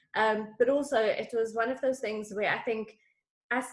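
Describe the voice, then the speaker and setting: A woman speaks with a South African accent at a moderate pace. Her pitch sits fairly high. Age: 40s. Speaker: executive coach. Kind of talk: interview.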